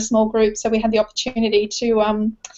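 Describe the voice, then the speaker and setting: Speaking at a fairly quick pace, a woman with an Australian accent uses a fairly high pitch. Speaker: team member of online business. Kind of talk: casual interview.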